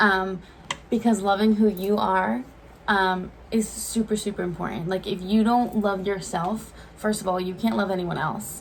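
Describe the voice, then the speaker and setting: This woman has an ordinary speaking voice, medium in pitch, with ordinary pitch variation at a moderate pace. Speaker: YouTuber, twin co-host. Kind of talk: casual chat.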